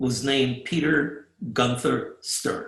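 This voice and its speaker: A man with an American accent, fairly high in pitch and somewhat breathy, at a very slow pace. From Germany, Fürth near Nuremberg; emigrated to the US as a child. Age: 80s. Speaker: Holocaust survivor giving a talk. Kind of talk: presentation with slides.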